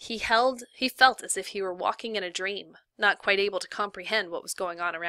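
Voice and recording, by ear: A natural voice reading aloud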